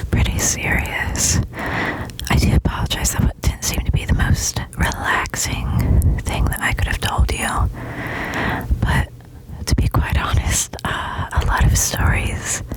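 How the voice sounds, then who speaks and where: Whispering at a very slow pace over noticeable background noise. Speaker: ASMR artist. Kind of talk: ASMR personal attention storytelling. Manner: whispered, soft-spoken.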